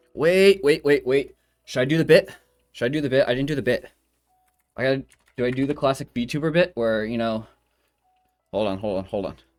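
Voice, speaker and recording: With music in the background, a man of medium pitch speaks at a fairly quick pace with lively intonation and long, frequent pauses. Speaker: vtuber streamer. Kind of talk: casual live stream chat. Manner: fast, nervous talker; stumbling over words.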